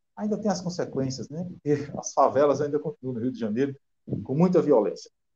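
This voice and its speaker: A man's somewhat breathy voice, fairly high in pitch, dark and mellow in tone, at a fairly quick pace. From Rio Grande do Norte interior, Brazil. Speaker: author and teacher. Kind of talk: interview.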